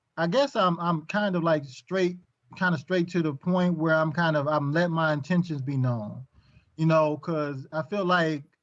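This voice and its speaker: At a moderate pace, a man with an American accent speaks at a fairly high pitch with ordinary pitch variation. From Michigan, US Midwest. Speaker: podcast guest. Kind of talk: casual chat. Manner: halting.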